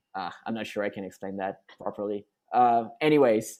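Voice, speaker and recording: A man speaks with a French accent at a moderate pace. His tone is dark and mellow. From France. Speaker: rock band singer. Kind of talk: interview. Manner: halting, many repetitions and fillers.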